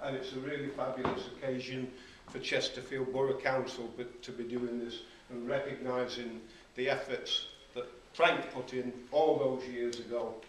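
With light background noise and audible room echo, a man speaks in a monotone, flat intonation at a moderate pace. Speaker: mayor. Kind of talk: ceremony speech. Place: hall. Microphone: camera far.

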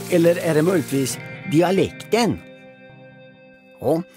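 Over background music, a man with a fairly high voice talks at a fairly slow pace, pausing often and at length. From Östergötland, Sweden. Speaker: comedian. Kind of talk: educational documentary narration.

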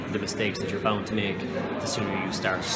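A man's voice under loud background noise. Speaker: interviewee. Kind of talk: interview answer. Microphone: phone near.

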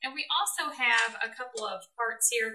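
Here is a woman's voice. Its tone is bright and sharp. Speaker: woodworking video co-host. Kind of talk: tutorial. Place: workshop.

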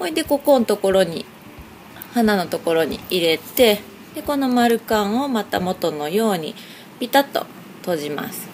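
With a Hiroshima accent, a woman talks at a moderate pace with very wide pitch swings over light background noise. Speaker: craft shop owner. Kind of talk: craft tutorial narration. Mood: friendly, cheerful. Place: shop. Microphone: phone near.

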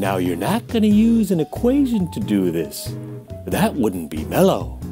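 Music plays clearly behind the voice. The speaker is a man. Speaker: physics teacher. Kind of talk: lab instructions lecture. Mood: relaxed, playful. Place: home room.

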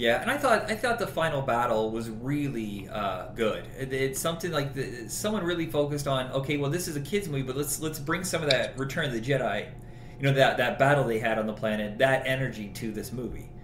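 The speech comes at a fairly quick pace with lively intonation and hardly any pauses. Noticeable background noise and audible room echo fill the recording. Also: man, medium pitch for a man. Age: 40s. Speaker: podcast host. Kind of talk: casual chat.

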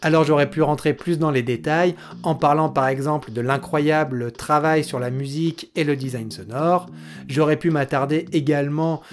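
A man delivers his words fairly slowly, with light noise in the background. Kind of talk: commentary. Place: home room.

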